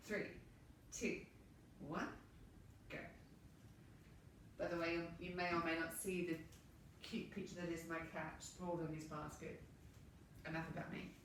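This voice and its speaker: Speaking in an Australian accent, a woman uses a fairly low pitch and monotone, flat intonation at a moderate pace, with long, frequent pauses. Audible room echo surrounds her voice. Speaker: movement and relaxation instructor. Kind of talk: guided movement class. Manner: relaxed, calm.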